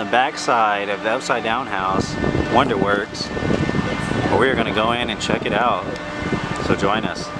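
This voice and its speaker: A man talks at a moderate pace, the sound dry with no echo and music in the background. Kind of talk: casual vlog chat. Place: street. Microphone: phone near.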